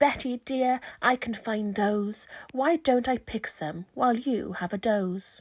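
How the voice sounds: Ordinary pitch variation across a natural reading voice.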